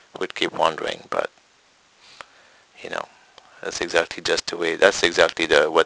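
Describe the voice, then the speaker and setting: The speaker has a non-native accent. The sound is dry and close with no echo, though background noise is noticeable. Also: man. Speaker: meditation teacher. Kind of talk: spiritual Q&A talk.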